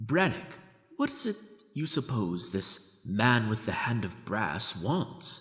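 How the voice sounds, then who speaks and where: Putting on a character voice, a man speaks at a fairly slow pace in a medium pitch with very wide pitch swings. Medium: audio drama. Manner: stiffly formal, trying to sound noble.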